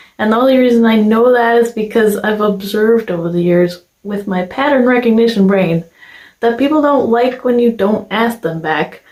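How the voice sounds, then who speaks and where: Pitch varies in an ordinary way. The speed is moderate. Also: woman, fairly high pitch for a woman. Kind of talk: personal vlog monologue.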